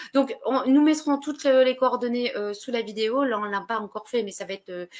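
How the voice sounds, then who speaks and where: A moderate pace with ordinary pitch variation. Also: woman. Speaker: web show host. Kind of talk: live interview closing. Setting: live online broadcast. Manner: halting, stumbling over words.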